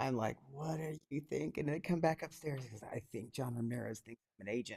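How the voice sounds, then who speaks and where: A man talks at a fairly quick pace in an animated tone. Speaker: podcast co-host. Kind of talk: casual chat. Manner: animated, over the top.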